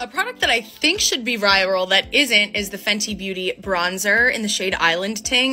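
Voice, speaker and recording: Faint music plays behind a woman who talks at a moderate pace with ordinary pitch variation. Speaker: beauty creator. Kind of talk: casual product review vlog. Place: home room. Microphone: phone near.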